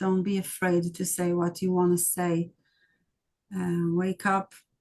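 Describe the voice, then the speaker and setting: Very slow, flat, monotone delivery with an Israeli accent. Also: woman. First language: Hebrew. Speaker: documentary filmmaker. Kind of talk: interview. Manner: halting.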